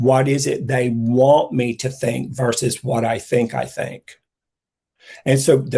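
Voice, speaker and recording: A man speaks at a very slow pace. His tone is dark and mellow, and somewhat breathy. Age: 60s. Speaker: psychic intuitive speaker. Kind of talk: casual chat.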